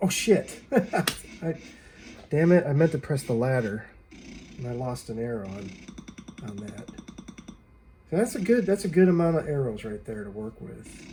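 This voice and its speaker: With music in the background, a man speaks at a moderate pace and a fairly high pitch, his pitch swinging very widely, his loudness shifting a lot, and long pauses coming often. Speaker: gaming YouTuber. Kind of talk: gameplay commentary. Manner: halting, many fillers.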